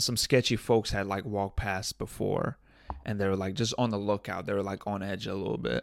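On a very clean recording with a silent background, a man with vocal fry speaks at a fairly low pitch with ordinary pitch variation. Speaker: podcast host. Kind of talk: casual solo monologue. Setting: home studio with audio interface. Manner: rambling with frequent filler words and self-repetition; loud.

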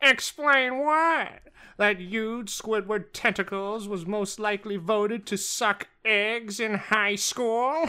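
In a put-on character voice that sounds female, the speaker uses a fairly high pitch. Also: fairly slow pace. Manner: snobby.

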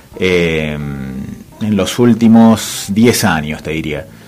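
Over noticeable background noise, a man talks at a fairly slow pace in a fairly low voice with lively intonation. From Greater Buenos Aires, Argentina. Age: 40s. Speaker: photographer and editor. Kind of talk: radio interview. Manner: hesitant, many fillers.

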